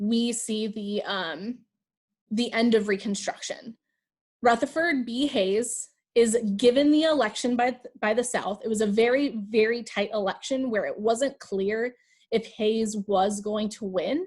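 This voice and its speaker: A woman speaks in an unremarkable speaking voice at a fairly slow pace. Her pitch is fairly high, with ordinary variation. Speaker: high school history teacher. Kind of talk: lecture. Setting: video call.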